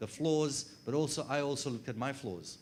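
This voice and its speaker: A man talks with an Australian accent. His intonation stays fairly even. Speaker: HR consultant and trainer. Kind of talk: workshop presentation. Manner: fast.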